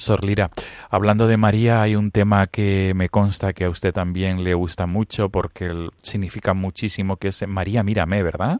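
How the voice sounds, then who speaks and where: Monotone, flat intonation in a dry, close sound with no echo, on a very clean recording with a silent background. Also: man, fairly low pitch for a man, moderate pace. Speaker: priest and radio host. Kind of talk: radio interview.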